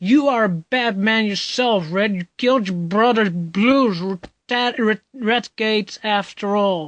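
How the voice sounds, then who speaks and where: A whiny, fairly high-pitched put-on character voice at a fairly slow pace with hardly any pauses, over a quiet background. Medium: read story. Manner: smug, whiny.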